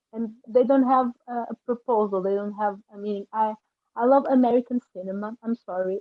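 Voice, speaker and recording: Speaking with a non-native accent, a woman uses a fairly high pitch, fairly even intonation and a moderate pace. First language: not English. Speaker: film director. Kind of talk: panel discussion. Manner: halting.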